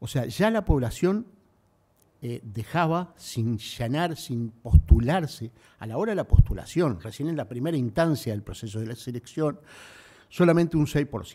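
Speaking at a fairly slow pace, a man uses a dark, mellow tone with very wide pitch swings and big swings in loudness. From Uruguay. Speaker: civil service official. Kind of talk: formal speech. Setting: stage with audience. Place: hall. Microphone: podium.

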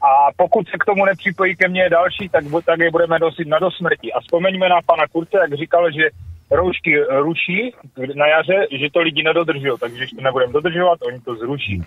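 A man's high voice at a fairly quick pace, dry with no echo. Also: ordinary pitch variation. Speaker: caller. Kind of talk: call-in comment. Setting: phone call. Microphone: phone line.

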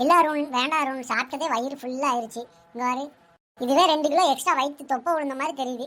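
Using a cartoonish character voice, a woman speaks high-pitched at a moderate pace with fairly even intonation. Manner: coy, wheedling.

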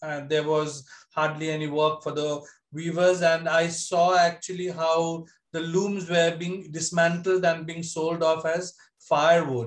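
In a quiet background, a man with a high voice speaks fairly slowly in a flat monotone. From India, Bengal tea garden region. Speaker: textile artisan. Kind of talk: presentation. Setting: video call. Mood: reflective, somber. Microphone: video call.

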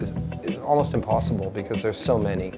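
Music in the background behind a man talking at a fairly quick pace with ordinary pitch variation. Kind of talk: interview answer. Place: workshop.

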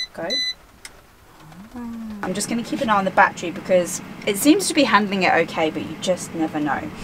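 Over loud background noise, a woman talks at a fairly quick pace with ordinary pitch variation. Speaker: travel vlogger. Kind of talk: casual vlog chat. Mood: relaxed, cheerful. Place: home room.

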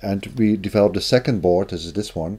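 A man's dark, mellow voice with fairly even intonation. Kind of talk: tutorial. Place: home room.

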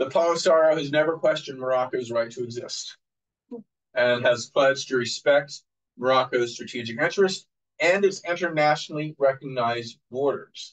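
A man with an American accent speaks at a moderate pace in an unremarkable speaking voice, his pitch fairly high. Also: ordinary pitch variation. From United States. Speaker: professor. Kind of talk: public lecture. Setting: venue with live audience.

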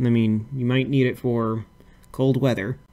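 A very clean recording with a silent background of a man at medium pitch, fairly slow pace and fairly even intonation. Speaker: YouTuber hosting a fan-art game simulator video. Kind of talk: casual commentary reading out game events. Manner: halting, many fillers and repetitions.

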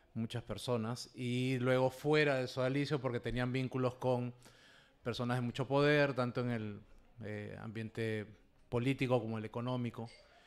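A man's medium-pitched, flat monotone voice at a moderate pace. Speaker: abuse survivor and activist. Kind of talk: panel discussion.

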